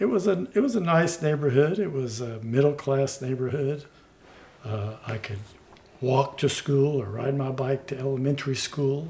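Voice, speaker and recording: Over noticeable background noise, a man with an American accent speaks at a moderate pace, his fairly high voice showing ordinary pitch variation. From Texas, Houston. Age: 60s. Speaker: former municipal judge and attorney. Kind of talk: interview conversation. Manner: halting.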